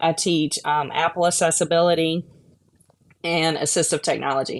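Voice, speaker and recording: This is a woman speaking. She has a Memphis accent. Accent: Southern US (Memphis). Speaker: vision rehabilitation instructor. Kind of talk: casual chat.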